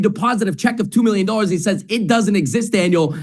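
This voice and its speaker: High-pitched male speech with a Canadian accent, lively intonation and audible room echo. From Canada. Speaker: sales trainer. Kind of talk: interview.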